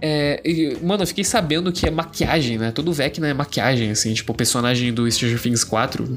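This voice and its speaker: The talking moves at a fairly quick pace. Music plays in the background. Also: man. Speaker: podcast host. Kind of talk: casual solo monologue. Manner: casual, slangy.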